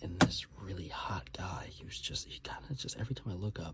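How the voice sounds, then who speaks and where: Whispering at a moderate pace. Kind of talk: ASMR video, casual talk to camera. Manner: whispered, soft-spoken.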